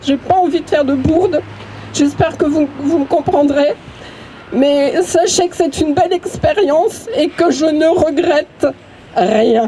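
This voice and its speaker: Over noticeable background noise, a woman speaks very slowly in a high pitch with ordinary pitch variation. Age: 60s. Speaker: activist speaking at memorial. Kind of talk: public speech at vigil. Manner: halting.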